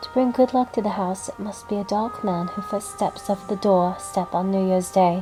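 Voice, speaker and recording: A woman's medium-pitched voice at a moderate pace with fairly even intonation, music in the background. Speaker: hobbyist audiobook reader. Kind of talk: audiobook narration with character dialogue.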